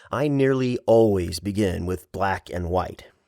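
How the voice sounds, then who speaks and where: The recording is very clean, with a silent background. A man speaks in an ordinary speaking voice at a fairly slow pace. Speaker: voice actor. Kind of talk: audiobook narration.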